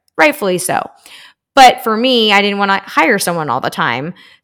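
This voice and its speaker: Speaking in an unremarkable speaking voice, a woman with an American accent keeps a medium pitch and moderate pace on a very clean recording with a silent background. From Texas, Houston. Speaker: parenting coach. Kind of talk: interview.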